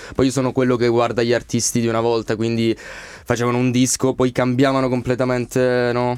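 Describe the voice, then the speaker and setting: A man's medium-pitched, monotone, flat voice at a fairly quick pace, very even in loudness and with hardly any pauses. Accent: slight Calabrian. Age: 20s. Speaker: singer. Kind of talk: radio interview. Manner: reserved.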